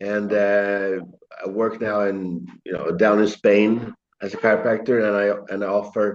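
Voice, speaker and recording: Speaking at a fairly slow pace, a man with a Swedish accent uses a fairly low pitch. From Sweden. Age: 60s. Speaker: chiropractor. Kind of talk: interview. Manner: halting.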